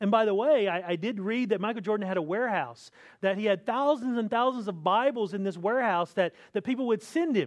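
A man with an American accent talks at a very fast pace. His pitch is high, and the background is quiet. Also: ordinary pitch variation. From US South, North Carolina. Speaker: pastor. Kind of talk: sermon. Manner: repeats and restarts words.

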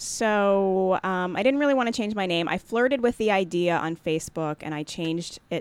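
A woman with a General American accent uses a normal speaking voice with lively intonation. She keeps a moderate pace on a very clean recording with a silent background. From Jamaica born, raised Maryland near Washington DC. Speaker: comedian and actor. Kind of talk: casual interview chat.

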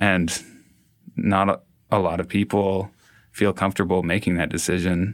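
Speaking at a moderate pace in a Canadian accent, a man with a very deep, low pitch keeps fairly even intonation in a very clean recording with a silent background. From Canada, Toronto. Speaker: artist and musician. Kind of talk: interview.

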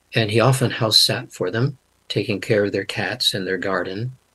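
At a fairly quick pace, a man talks in a normal speaking voice, medium in pitch with fairly even intonation. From Canada. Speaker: linguist and Bible translator. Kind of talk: interview.

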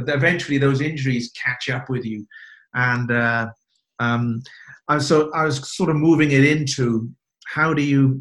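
With a British accent, a man speaks at a moderate pace and medium pitch, his intonation fairly even. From UK. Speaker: podcast host. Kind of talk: casual interview.

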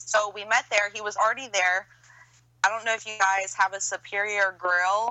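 A woman with an American accent talks at a moderate pace in a medium pitch. Her intonation is monotone and flat. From Pineville, Louisiana. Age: 30s. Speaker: podcast host guest. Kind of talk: casual chat.

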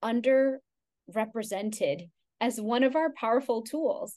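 A woman with an American accent speaks at a high pitch. Her pace is fairly slow. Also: quiet background. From Texas, Houston. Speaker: Ayurvedic practitioner. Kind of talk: interview.

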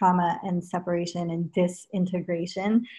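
Someone speaks with an American accent at a fairly slow pace. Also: woman. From Los Angeles, US (early years in England). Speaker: yoga teacher. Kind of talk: interview.

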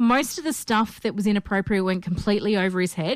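This woman, with an Australian accent, speaks at a fairly quick pace and medium pitch on a very clean recording with a silent background. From Perth, Australia. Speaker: podcast host. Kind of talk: casual chat.

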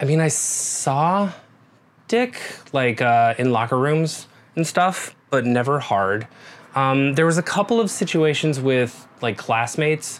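Speaking in an American accent, a man uses a fairly high pitch and lively intonation at a fairly slow pace, with very even loudness. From US Midwest, rural Nebraska. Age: 40s. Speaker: massage therapist and guest co-host. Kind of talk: casual interview, personal storytelling.

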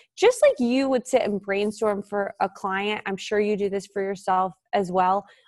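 Her tone is animated, and she speaks with an American accent. The woman keeps a moderate pace at a medium pitch. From US, Washington DC area. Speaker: entrepreneur and author. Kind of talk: casual interview chat.

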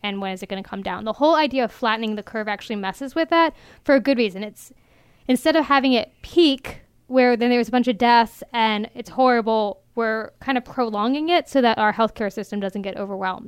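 A woman with an American accent, an ordinary speaking voice, fairly high pitch, ordinary pitch variation and a fairly quick pace, in a very clean recording with a silent background. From Maryland. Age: 20s. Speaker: news reporter. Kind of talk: casual chat.

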